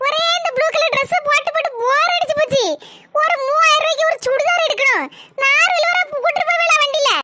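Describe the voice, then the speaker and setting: Doing a cartoonish character voice, a woman speaks at an extremely high pitch with very wide pitch swings, very even loudness and a moderate pace. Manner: sweet, affectionate.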